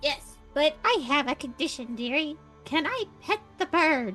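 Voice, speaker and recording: A woman puts on a high-pitched character voice at a moderate pace. Clear music plays in the background. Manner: wheedling, sweet.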